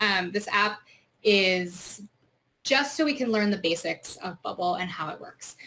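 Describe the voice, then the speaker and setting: This woman's voice sits fairly high in pitch. Her intonation is lively. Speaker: software trainer. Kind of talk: tutorial. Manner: fast.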